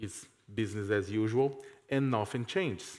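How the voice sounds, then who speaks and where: A man with a Portuguese accent talks at a fairly slow pace. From Brazil. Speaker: journalist and professor. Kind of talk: reading a prepared text on a panel.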